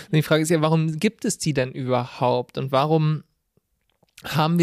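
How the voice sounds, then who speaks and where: With fairly even intonation, a man speaks at a fairly high pitch in an unremarkable speaking voice, the sound dry and close with no echo. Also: very clean recording, silent background. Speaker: podcast co-host, audio-video editor. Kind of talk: casual political discussion.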